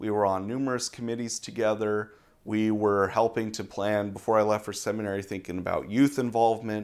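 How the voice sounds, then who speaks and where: The voice is an unremarkable speaking voice with fairly even intonation, on a very clean recording with a silent background. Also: man. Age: 20s. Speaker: seminary student. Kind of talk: interview conversation. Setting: pastor's office.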